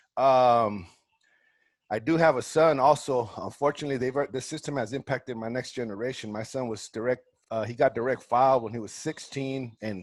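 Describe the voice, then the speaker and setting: Speaking at a fairly quick pace, a man with an American accent uses a medium pitch and fairly even intonation, his sound dry and close with no echo. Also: big swings in loudness. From Northern California, Salinas. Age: 40s. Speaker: community organizer, board candidate. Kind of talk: candidate statement, informal. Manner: casual, halting with repeated fillers.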